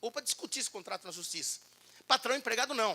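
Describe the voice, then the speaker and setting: A man talks in an animated way, his tone bright and sharp. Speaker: labor law speaker at union event. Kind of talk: lecture. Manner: fast.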